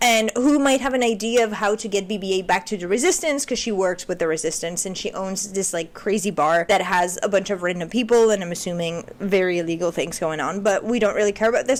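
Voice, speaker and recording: A woman with a medium pitch talks at a very fast pace with hardly any pauses against noticeable background noise. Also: ordinary pitch variation. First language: not English. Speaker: video essayist, film commentary. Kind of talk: casual monologue. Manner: conversational, with filler words.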